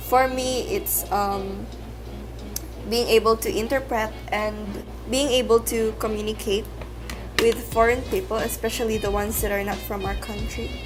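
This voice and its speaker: With a Visayan Filipino accent, the speaker moves at a moderate pace with long, frequent pauses, as music plays in the background amid audible room echo. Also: woman. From Philippines, Cebuano-speaking region. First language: Cebuano. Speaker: vlogger. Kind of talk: casual vlog Q and A.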